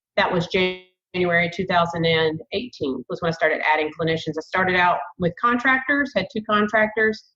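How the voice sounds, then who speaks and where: This woman has a strong Southern US accent and a fairly low pitch. She talks at a fairly quick pace. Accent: thick Southern. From US South, Savannah, Georgia. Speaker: therapist, group practice owner. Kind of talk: podcast interview.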